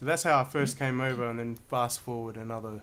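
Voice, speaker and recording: Speaking with an Australian accent, this man keeps a medium pitch. His intonation is fairly even, and his pace is moderate. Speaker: saxophonist and educator. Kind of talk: interview conversation.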